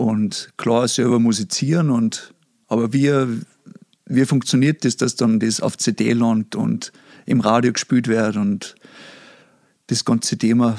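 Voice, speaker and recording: A man with a Salzburg accent at a very slow pace, long, frequent pauses, very even loudness, ordinary pitch variation, and a dry, close sound with no echo. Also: medium pitch for a man. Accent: Pinzgau dialect, moderate. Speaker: recording studio owner. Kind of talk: casual chat. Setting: online call.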